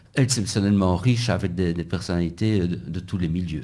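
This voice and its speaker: This man's voice has a dark, mellow tone and ordinary pitch variation at a moderate pace. Room echo can be heard. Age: 60s. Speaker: physics professor and election candidate. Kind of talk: radio interview. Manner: halting, with repetitions.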